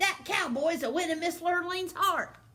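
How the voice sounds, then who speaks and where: An extremely high-pitched, put-on character voice moves along at a moderate pace. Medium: read story. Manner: gruff, commanding.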